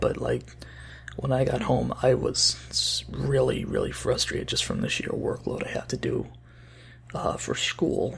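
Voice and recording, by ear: A quiet, raspy put-on character voice from a man at a moderate pace, with light background noise.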